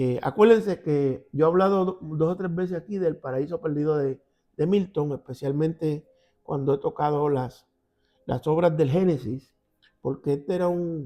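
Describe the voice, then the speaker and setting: With a Puerto Rican accent, a man speaks at a moderate pace in a fairly high pitch, using ordinary pitch variation and a dark, mellow tone. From Puerto Rico. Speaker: Bible teacher. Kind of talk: Bible study. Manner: conversational.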